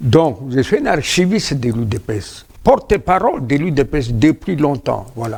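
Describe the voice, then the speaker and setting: A man speaks very slowly in a somewhat breathy voice. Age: 70s. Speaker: veteran politician, party founder. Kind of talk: TV interview. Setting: TV studio.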